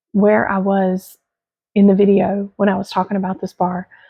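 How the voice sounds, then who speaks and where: A woman speaks quietly at a moderate pace in a medium pitch, somewhat breathy, with monotone, flat intonation. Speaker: fragrance product reviewer. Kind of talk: casual product review vlog. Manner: trying to speak quietly.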